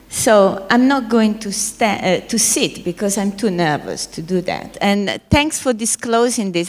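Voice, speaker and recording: This woman's medium-pitched voice shows ordinary pitch variation above noticeable background noise. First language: Italian. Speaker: panel moderator. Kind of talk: panel moderation.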